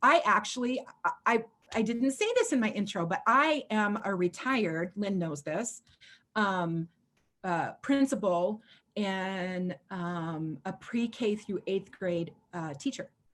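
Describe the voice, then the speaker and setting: On a very clean recording with a silent background, a woman with an American accent speaks at a very slow pace and medium pitch, her intonation lively. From US Pacific Northwest (Washington state). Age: 50s. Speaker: chalk art mentor and retired school principal. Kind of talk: casual video chat. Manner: animated.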